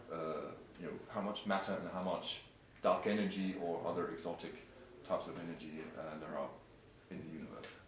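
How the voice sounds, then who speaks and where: Speaking at a fairly quick pace with long, frequent pauses, a man with a very deep, low voice keeps his intonation fairly even against noticeable background noise. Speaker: astronomer. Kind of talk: interview answer.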